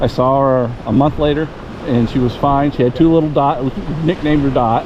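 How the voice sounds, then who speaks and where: Over noticeable background noise, a man with a fairly high pitch talks at a fairly quick pace and very even loudness. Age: 60s. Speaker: metal detecting youtuber. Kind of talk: casual chat. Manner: halting.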